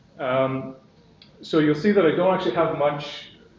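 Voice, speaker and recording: Background noise is noticeable, with audible room echo. A man talks with a fairly high pitch and ordinary pitch variation. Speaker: software company executive. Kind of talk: conference presentation. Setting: stage with audience. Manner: fast.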